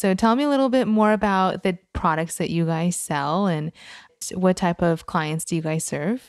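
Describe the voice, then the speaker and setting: In a normal speaking voice, a woman talks at a moderate pace with ordinary pitch variation. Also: very clean recording, silent background. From immigrant to the US. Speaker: podcast host. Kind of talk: interview.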